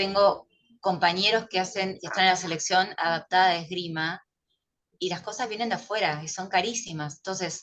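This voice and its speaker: A woman has an ordinary speaking voice at medium pitch. She keeps a moderate pace and fairly even intonation. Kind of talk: casual chat.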